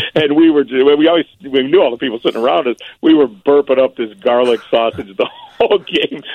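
With a Chicago accent, a man talks at a fairly quick pace with hardly any pauses, using a fairly high pitch and ordinary pitch variation. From Chicago area (Berwyn). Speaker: barbecue chef. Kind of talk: casual interview.

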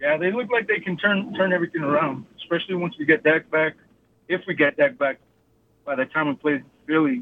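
Using a plain, everyday voice, a man talks at a fairly quick pace with lively intonation and a fairly high pitch. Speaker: caller. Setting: phone call.

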